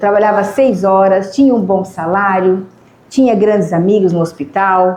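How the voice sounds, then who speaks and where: A woman's voice with fairly even intonation, against noticeable background noise. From Ribeirão Preto, São Paulo state, Brazil. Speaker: motivational speaker and biomedical scientist. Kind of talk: lecture. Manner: conversational, engaging the audience.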